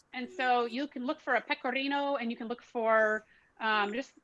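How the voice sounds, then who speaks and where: Her tone is bright and sharp, fairly high for a woman, with a Southern accent. Pitch variation stays ordinary. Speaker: art history and cooking teacher. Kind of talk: online class Q&A. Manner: fast.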